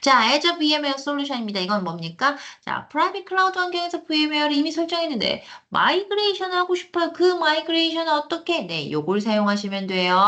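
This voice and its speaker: Her voice is high, raised and projected, racing at a very fast pace with very wide pitch swings and an animated tone. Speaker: cloud computing instructor. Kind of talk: lecture. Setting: online live class with screen share.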